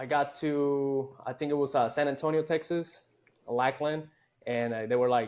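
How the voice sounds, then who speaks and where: A man speaks with a Puerto Rican accent at a moderate pace, his pitch fairly high. His intonation is fairly even, and the background is quiet. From Puerto Rico. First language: Spanish. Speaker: army veteran, former special forces soldier. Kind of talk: casual interview chat. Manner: casual, profane.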